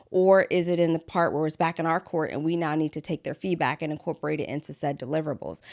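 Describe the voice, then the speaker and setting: Very fast and with hardly any pauses, a woman speaks in a very deep, low, flat monotone in a very clean recording with a silent background. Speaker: business podcast host. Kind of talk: solo podcast talk.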